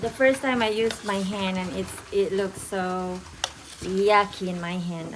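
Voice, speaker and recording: Someone speaks with a Filipino accent over noticeable background noise. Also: woman. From Philippines. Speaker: home cook vlogger. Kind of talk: cooking tutorial. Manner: halting.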